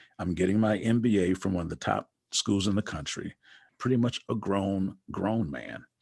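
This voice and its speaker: A man with an unremarkable speaking voice and an American accent talks at a fairly low pitch and moderate pace, with ordinary pitch variation and a dry, close sound with no echo. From Wisconsin, US Midwest. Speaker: basketball coach and author. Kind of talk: interview conversation. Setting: podcast.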